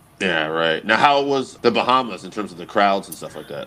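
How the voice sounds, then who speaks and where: With lively intonation and big swings in loudness, a man speaks quickly in an ordinary speaking voice, his pitch fairly low. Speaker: podcast host, interviewer. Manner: casual, relaxed.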